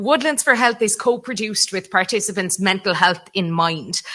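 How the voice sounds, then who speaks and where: A woman speaks in a West Cork accent. Her tone is bright and sharp. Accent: West Cork Irish. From Ireland, West Cork. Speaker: conference speaker, mental health walking programme coordinator. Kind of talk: conference presentation.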